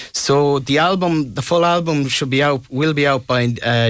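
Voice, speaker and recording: A man with a west of Ireland accent, ordinary pitch variation, and a moderate pace. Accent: west of Ireland Irish. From Ireland, Tuam, County Galway. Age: 20s. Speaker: singer-songwriter. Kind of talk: radio interview.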